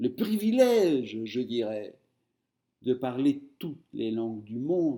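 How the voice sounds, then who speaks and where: In a Spanish accent, a man speaks very slowly with a dark, mellow tone and lively intonation. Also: medium pitch for a man. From Argentina, Buenos Aires. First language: Spanish (speaking French). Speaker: writer. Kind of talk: interview.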